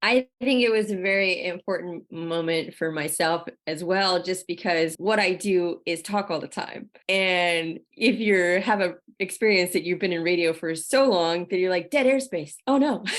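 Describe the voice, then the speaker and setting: A woman speaks in a normal speaking voice at a medium pitch. She barely pauses, and her pitch varies in an ordinary way. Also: moderate pace. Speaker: podcast host. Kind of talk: casual interview chat.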